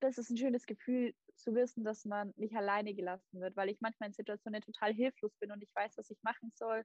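A fairly high-pitched woman at a fairly quick pace, monotone and flat, with a dry, close sound and no echo. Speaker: volunteer. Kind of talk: casual chat.

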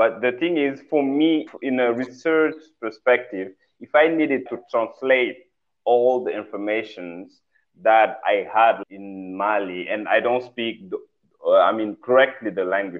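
At a fairly slow pace, a man with a Senegalese accent talks at a medium pitch with ordinary pitch variation. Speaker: fashion designer. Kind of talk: interview conversation. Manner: halting, searching for words.

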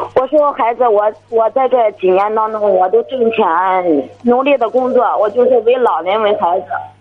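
A woman with a fairly high pitch talks with hardly any pauses over noticeable background noise. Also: ordinary pitch variation, moderate pace. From Heze, Shandong, China. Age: 30s. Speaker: caller. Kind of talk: call-in advice. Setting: phone call.

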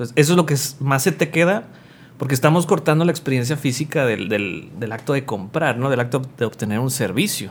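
A man's somewhat breathy, fairly high voice with lively intonation at a fairly quick pace. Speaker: podcast co-host. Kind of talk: casual chat.

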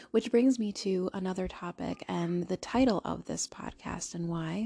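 The woman talks at a moderate pace, her voice dry and close with no echo, in a very clean recording against a silent background. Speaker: podcast host. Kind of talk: solo monologue. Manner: halting.

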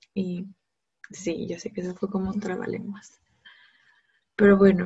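A somewhat breathy woman's voice at a medium pitch and a moderate pace. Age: 20s. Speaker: podcaster. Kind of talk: casual monologue.

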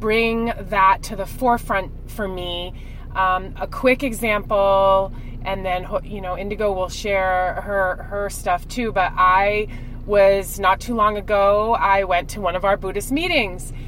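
A woman at medium pitch with fairly even intonation and a very slow pace, over noticeable background noise. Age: 40s. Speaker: podcast co-host. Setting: car. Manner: loud, a shouter; loud, shouting into the mic.

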